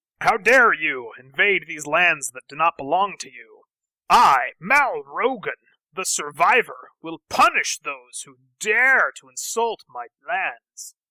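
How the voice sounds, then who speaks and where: A gruff, shouted, put-on character voice at a middle pitch and a fairly slow pace. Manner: shouting, threatening.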